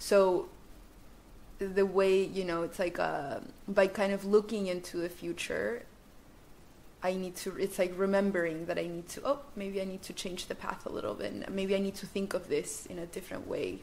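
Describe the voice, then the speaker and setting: Over noticeable background noise, the voice keeps fairly even intonation while its loudness swings widely. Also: woman, medium pitch for a woman, moderate pace. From Chile. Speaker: guest. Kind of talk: casual interview chat. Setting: studio.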